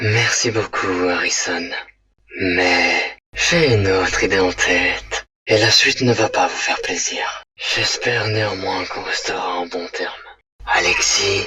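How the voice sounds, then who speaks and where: A man in a cartoonish character voice, speaking fairly slowly. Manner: polite, measured.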